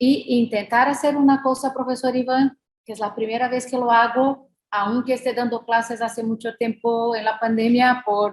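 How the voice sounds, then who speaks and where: A woman with a non-native accent speaks at a moderate pace. Her voice is high-pitched with monotone, flat intonation. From Brazil. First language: Portuguese (speaking Spanish). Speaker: law professor. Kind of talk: lecture. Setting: video call. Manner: halting, many fillers.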